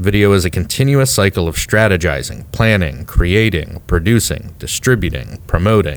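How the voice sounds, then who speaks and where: A man speaks with a very deep, low pitch and audible vocal fry. His intonation is lively and his pace moderate. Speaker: podcast co-host and company co-founder. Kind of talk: casual conversational podcast banter. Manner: playful, joking, animated.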